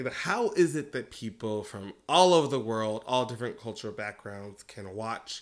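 An ordinary speaking voice, a man with an American accent talks at a moderate pace with hardly any pauses, medium pitch, ordinary pitch variation and big swings in loudness on a very clean recording with a silent background. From US Midwest. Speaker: podcast co-host. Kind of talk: casual chat.

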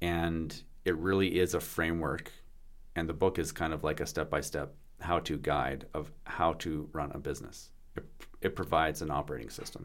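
He speaks at a moderate pace with vocal fry. This man's pitch is very deep and low. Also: ordinary pitch variation. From Canada, British Columbia (Vancouver Island). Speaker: business lawyer. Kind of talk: casual chat.

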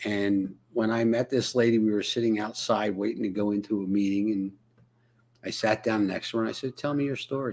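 Here is a man with a plain, everyday voice, fairly low in pitch. He speaks at a fairly quick pace with fairly even intonation. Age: 60s. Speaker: live stream host, program coach. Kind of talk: casual interview. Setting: live video stream.

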